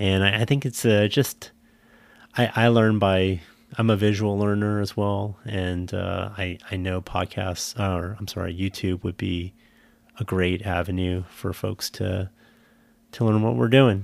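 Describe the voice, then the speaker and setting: In a Californian accent, a man talks at a fairly low pitch and a fairly slow pace with fairly even intonation, on a very clean recording with a silent background. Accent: General American (Californian). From US West Coast, San Jose, California. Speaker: podcast co-host and homesteader. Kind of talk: casual chat.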